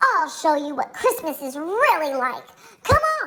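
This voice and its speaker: Using a put-on character voice, a woman speaks at a moderate pace in a high, squeaky tone with very wide pitch swings. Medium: read story.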